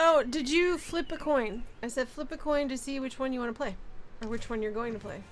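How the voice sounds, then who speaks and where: Music plays behind a woman who speaks at a fairly quick pace with a high pitch and ordinary pitch variation. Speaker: gaming streamer. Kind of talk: live game streaming chat. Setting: live stream. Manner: soft-spoken.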